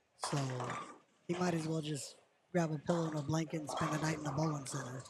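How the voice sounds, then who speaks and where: Amid noticeable background noise and audible room echo, a man with an American accent and a fairly high pitch speaks at a very fast pace in a monotone, flat intonation. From Washington State, US. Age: 60s. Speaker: amateur bowler. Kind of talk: casual interview.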